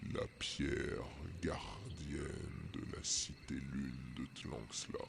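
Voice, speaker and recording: Through loud background noise, a man whispers in a put-on character voice at a very slow pace. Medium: actual play. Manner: solemn, archaic, inverted syntax.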